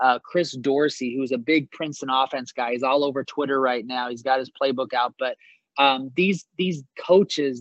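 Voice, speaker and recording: Speaking at a fairly slow pace with an American accent, a man uses an ordinary speaking voice that sits fairly high in pitch, his intonation fairly even. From US Pacific Northwest, Seattle area. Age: 40s. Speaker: basketball coach. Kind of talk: interview.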